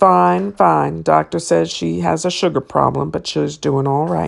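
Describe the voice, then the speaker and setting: A raspy, put-on character voice at a moderate pace over a quiet background. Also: woman, very deep, low pitch for a woman. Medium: read story. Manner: easygoing, blunt.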